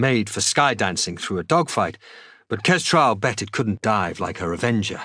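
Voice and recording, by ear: Lively intonation lifts this reading aloud in a natural voice.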